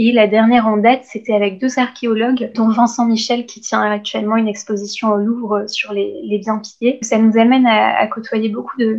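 A woman at a fairly high pitch, moderate in pace, with monotone, flat intonation. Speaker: law and art history student. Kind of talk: interview.

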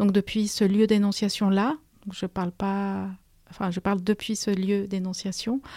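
With a Spanish accent, a woman speaks in a monotone, flat intonation at a medium pitch, her dark, mellow tone captured with a dry, close sound with no echo in a very clean recording with a silent background. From Peru. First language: Spanish (speaking French). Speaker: history lecturer and author. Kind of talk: radio interview. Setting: radio studio. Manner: halting, many repetitions and hesitations.

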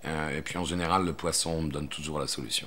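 A man at a fairly quick pace. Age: 50s. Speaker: stage actor. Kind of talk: personal interview monologue. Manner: halting, frequent fillers and repetitions.

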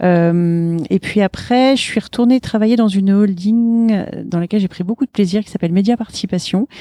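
In a dark, mellow tone at medium pitch, a woman speaks at a fairly slow pace, with a dry, close sound and no echo. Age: 50s. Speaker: business owner. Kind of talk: interview. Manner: animated.

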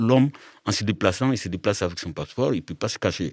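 A man with a fairly low pitch and lively intonation has an ordinary speaking voice, heard dry and close with no echo in a very clean recording with a silent background. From Mali. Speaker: migrant rights activist. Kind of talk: panel discussion.

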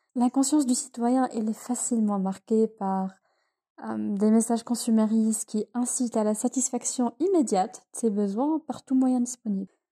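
Against a silent background in a very clean recording, a woman speaks in a dark, mellow, fairly high voice with fairly even intonation and a dry, close sound with no echo. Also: moderate pace. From Tunisia. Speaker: student. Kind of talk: reading aloud.

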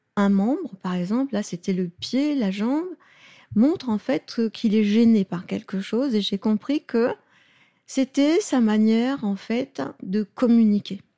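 On a very clean recording with a silent background and a dry, close sound with no echo, a woman speaks at a very slow pace, somewhat breathy, dark and mellow in tone, with lively intonation. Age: 70s. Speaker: pediatric osteopath. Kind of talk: interview. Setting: osteopathy practice in Lyon.

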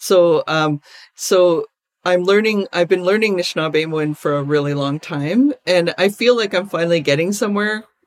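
A woman with an unremarkable speaking voice and a Canadian accent talks at a moderate pace, fairly low in pitch with ordinary pitch variation, on a very clean recording with a silent background and a dry, close sound with no echo. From Alberta, Canada. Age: 50s. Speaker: visual artist and activist. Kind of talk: interview conversation.

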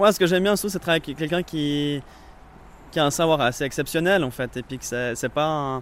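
An unremarkable speaking voice from a man, pitched fairly high, quick-ish in pace and ordinary in pitch variation. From Vaud, French-speaking Switzerland. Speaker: apprentice cooper. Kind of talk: interview. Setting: workshop.

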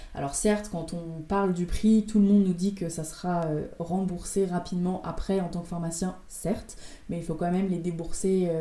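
A woman speaks at a fairly slow pace in a fairly low, somewhat breathy voice. The room echo is audible. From France, Rouen. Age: 20s. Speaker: pharmacist. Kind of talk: interview.

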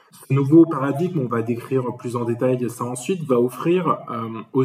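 Music plays as a man speaks at a fairly quick pace. His pitch is medium with ordinary variation. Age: 30s. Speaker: management consultant. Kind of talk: interview.

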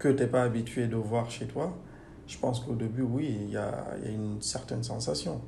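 In a room with audible echo, a man talks at a fairly slow pace and medium pitch, with fairly even intonation. His tone is dark and mellow, and somewhat breathy. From Guinea. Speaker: engineer. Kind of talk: interview. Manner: hesitant.

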